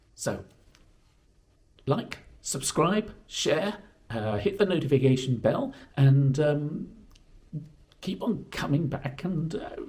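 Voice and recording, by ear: Speaking slowly with long, frequent pauses, a man with a fairly high pitch sounds croaky and slightly mellow, his intonation lively.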